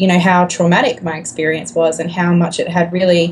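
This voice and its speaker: This woman has an Australian accent. Her voice is fairly low in pitch. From Australia, Griffith NSW, now Melbourne. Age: 20s. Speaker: YouTuber, tarot reader. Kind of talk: casual chat interview. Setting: remote call.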